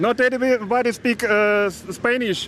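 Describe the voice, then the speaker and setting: Speaking at a fairly slow pace with a Russian accent, a man is heard over noticeable background noise. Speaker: karting team member. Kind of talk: live interview. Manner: halting, many hesitations.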